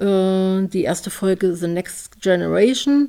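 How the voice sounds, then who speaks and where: Her pitch sits in the middle range with ordinary variation as this woman talks very slowly. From Leipzig, eastern Germany. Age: 40s. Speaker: podcast host. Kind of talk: personal monologue.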